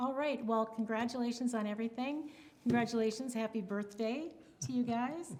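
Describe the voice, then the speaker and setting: Noticeable background noise surrounds a woman speaking at a moderate pace. Her pitch variation is ordinary. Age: 60s. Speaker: community TV show host. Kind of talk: scripted sign-off; casual interview chat.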